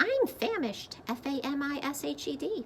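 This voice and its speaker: A high-pitched, female-sounding put-on character voice over clear background noise. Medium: read story. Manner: spells words aloud.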